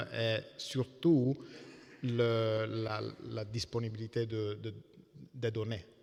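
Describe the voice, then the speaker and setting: Very slowly, a man with an Italian accent speaks at medium pitch in a monotone, flat intonation. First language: Italian (speaking French). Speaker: computer scientist. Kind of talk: panel discussion. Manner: halting.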